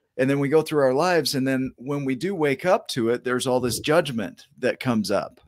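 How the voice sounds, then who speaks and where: A man with a slight Oklahoma accent, a fairly high pitch and ordinary pitch variation. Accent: minor Oklahoma drawl. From Oklahoma, US. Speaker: show host. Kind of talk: interview chat.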